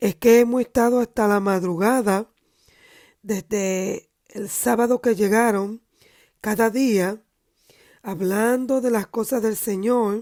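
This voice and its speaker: A woman with a fairly high pitch and a dark, mellow tone speaks at a very slow pace with long, frequent pauses. Her intonation is fairly even, and the recording is very clean with a silent background. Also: dry, close sound with no echo. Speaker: preacher. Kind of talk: sermon.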